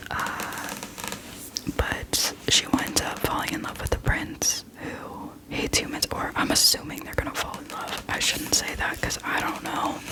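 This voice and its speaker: The speech is whispered at a moderate pace. Background noise is noticeable throughout. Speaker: ASMR creator. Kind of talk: ASMR whispered book ramble.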